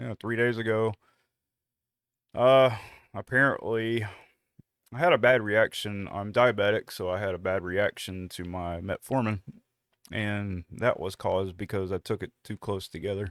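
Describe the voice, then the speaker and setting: A man with a Southern US accent speaks at a fairly low pitch, with long, frequent pauses. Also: ordinary pitch variation, moderate pace. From US South. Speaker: podcast co-host. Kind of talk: casual chat.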